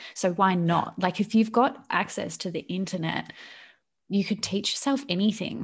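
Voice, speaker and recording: Somewhat breathy and at a moderate pace, a woman with an Australian accent speaks with ordinary pitch variation over a quiet background. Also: medium pitch for a woman. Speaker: YouTuber. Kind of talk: casual chat.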